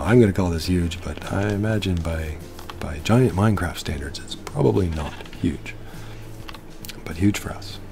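Over music in the background, a soft-spoken man with a very deep, low pitch talks at a moderate pace in a soothing tone, his intonation lively. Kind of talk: relaxing gameplay commentary. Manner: soothing, soft-spoken.

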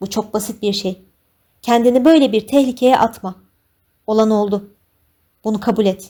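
Long, frequent pauses break up this woman's moderately paced speech, delivered at a fairly high pitch with an intense, dark, mellow tone and fairly even intonation. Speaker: audiobook narrator. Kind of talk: dramatic audiobook narration with tense, pleading character dialogue.

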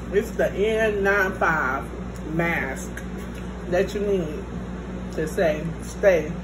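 A woman's very slow speech plays out against noticeable background noise. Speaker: mukbang vlogger. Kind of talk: casual vlog chat. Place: home room. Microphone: phone near.

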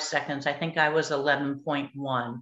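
A woman with an American accent speaks in a bright, sharp tone, with audible room echo. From California. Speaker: Olympic swimmer; guest. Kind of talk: panel discussion. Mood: cheerful, reminiscing. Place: home room. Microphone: video call.

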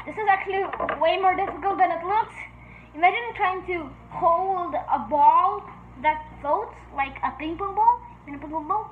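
A woman speaks fairly slowly at an extremely high pitch, her volume rising and falling sharply. Background noise is noticeable. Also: ordinary pitch variation. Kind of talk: casual talk to camera.

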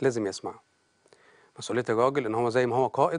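A man is talking. The background is quiet. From Egypt. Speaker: family counselor; talk show guest. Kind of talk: TV interview, counseling advice. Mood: calm, explanatory. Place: studio. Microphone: lapel.

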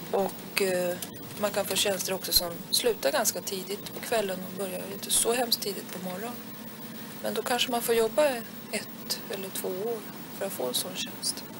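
A woman speaks with ordinary pitch variation. Noticeable background noise can be heard behind her. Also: moderate pace. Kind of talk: interview answer. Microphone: old recording.

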